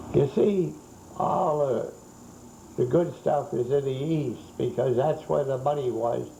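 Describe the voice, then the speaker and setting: A man talks at a fairly slow pace in a fairly high pitch, with ordinary pitch variation. The recording has audible room echo and noticeable background noise. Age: 80s+. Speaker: museum owner and collector. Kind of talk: guided museum tour interview. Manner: halting.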